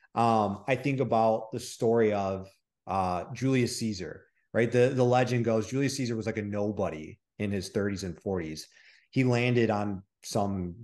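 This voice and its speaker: A man talks in a Midwestern American accent at a moderate pace. The background is quiet. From Michigan. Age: 30s. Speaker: online coach and real estate investor. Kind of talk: interview. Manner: animated.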